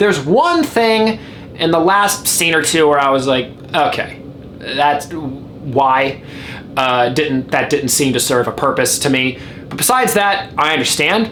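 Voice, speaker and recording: A man is heard with audible room echo and noticeable noise in the background. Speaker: film critic. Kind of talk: video review monologue. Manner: stuttering, halting in places; casual, conversational.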